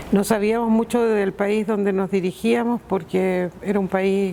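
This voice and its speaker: Noticeable background noise runs through this clip. A woman speaks at a fairly slow pace. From Chile, Iquique. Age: 60s. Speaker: returned emigrant. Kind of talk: documentary interview testimony.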